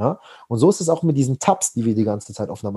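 A very fast, somewhat breathy male voice with a dark, mellow tone and very wide pitch swings. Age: 20s. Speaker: personal development coach. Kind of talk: podcast interview.

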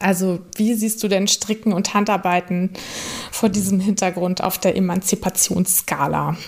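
At a moderate pace, a woman speaks with a medium pitch in a monotone, flat intonation, her loudness very even over noticeable background noise. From northern Germany. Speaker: podcast host and knitwear designer. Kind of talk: casual interview.

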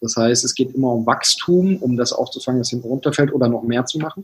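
Somewhat breathy, this voice belongs to a man. He speaks at a fairly quick pace. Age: 20s. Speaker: business consultant and author. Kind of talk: interview. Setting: video call.

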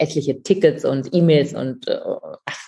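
This woman's voice sits at a very deep, low pitch and is somewhat breathy. Her tone is dark and mellow. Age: 50s. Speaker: author, speaker and coach. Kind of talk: interview.

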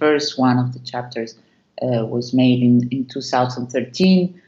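Speaking very slowly, a woman with a Spanish accent uses a very deep, low voice. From Argentina. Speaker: dance company artistic director. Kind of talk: interview. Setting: video call. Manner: halting.

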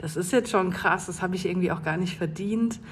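A woman with a fairly low pitch talks, and room echo is audible. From North Rhine-Westphalia, Germany. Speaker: listener sending a voice message. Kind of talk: recorded voice message.

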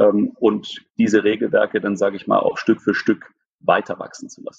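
His delivery moves at a moderate speed. The sound is close and dry, without any echo, and the speaker is a man. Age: 30s. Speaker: business executive. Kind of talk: interview. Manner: hesitant with many fillers.

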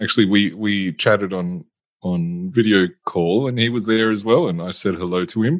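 A man with a plain, everyday voice talks at a fairly quick pace. His pitch is fairly low and his intonation is lively. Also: very clean recording, silent background. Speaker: podcast co-host. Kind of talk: casual chat.

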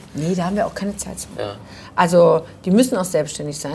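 A woman is speaking. Her voice has vocal fry. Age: 40s. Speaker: fashion trade fair organizer. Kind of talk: casual chat. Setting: bar.

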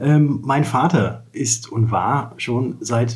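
A man with a dark, mellow tone speaks at medium pitch, somewhat breathy, with ordinary pitch variation. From Lower Saxony, Germany (Wolfenbüttel). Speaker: insurance broker. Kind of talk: interview conversation. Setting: office.

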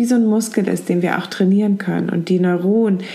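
A woman's calm, gentle tone at medium pitch, monotone and flat in intonation, over noticeable background noise. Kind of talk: guided meditation. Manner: soft-spoken, slow and soothing; calm, with gentle pauses.

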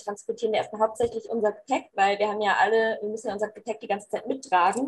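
Fairly high in pitch with ordinary pitch variation, a woman talks in an ordinary speaking voice. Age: 20s. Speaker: youth volunteer organizer. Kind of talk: casual chat.

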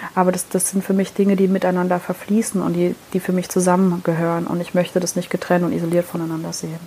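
Over noticeable background noise, a woman speaks at a very fast pace with hardly any pauses. Her fairly low-pitched voice has a monotone, flat intonation. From Heidelberg area, Germany. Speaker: podcast co-host, business owner. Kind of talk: casual chat.

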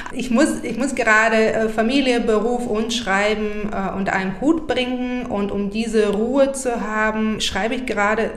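A woman talks at a moderate pace with a fairly high pitch. Audible room echo and noticeable background noise surround her voice. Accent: Bulgarian. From Bulgaria, Burgas. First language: Bulgarian (speaking German). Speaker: poet. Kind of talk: interview conversation. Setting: in the guest's home.

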